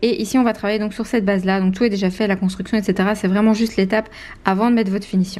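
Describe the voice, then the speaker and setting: A woman's medium-pitched voice at a very fast pace, with monotone, flat intonation. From Belgium. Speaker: nail technician. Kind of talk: tutorial.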